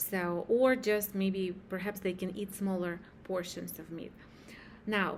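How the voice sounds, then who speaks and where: A woman's fairly slow speech at a medium pitch, with a non-native accent. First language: not English. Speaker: hypnosis practitioner. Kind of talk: spiritual talk to camera. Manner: halting.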